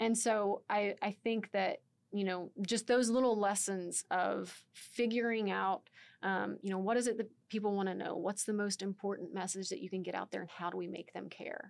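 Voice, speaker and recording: In an unremarkable speaking voice, a woman with an American accent talks at a moderate pace. Her pitch is medium and her intonation fairly even. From Texas, near Waco. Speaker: communications coordinator, guest podcast host. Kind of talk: scripted introduction; interview conversation. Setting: studio.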